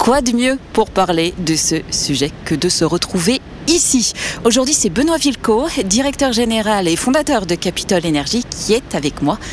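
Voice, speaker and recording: A woman's fairly high voice with very wide pitch swings, at a fairly slow pace, over noticeable background noise. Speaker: podcast host. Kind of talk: interview. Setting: outdoors by a river.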